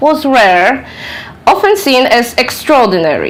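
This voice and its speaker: A woman's fairly slow speech with very wide pitch swings, audible room echo and noticeable background noise. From Poland. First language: Polish. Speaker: author and researcher. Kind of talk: lecture. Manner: halting.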